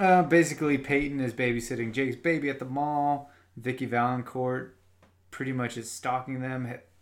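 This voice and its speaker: With an American accent, a man talks at a moderate pace and medium pitch, his intonation fairly even. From US Midwest. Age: 30s. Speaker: podcast co-host. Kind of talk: casual chat.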